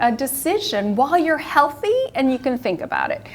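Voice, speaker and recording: A woman speaks at a moderate pace with very wide pitch swings while noticeable background noise plays behind her. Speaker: retired pharmacist and end-of-life volunteer. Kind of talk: community presentation. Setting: live presentation to a senior audience.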